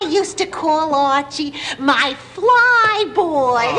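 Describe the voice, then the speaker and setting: Over clear background noise, a woman does a put-on character voice, extremely high in pitch and swinging very widely, at a very slow pace. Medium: short film. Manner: sweet, earnest.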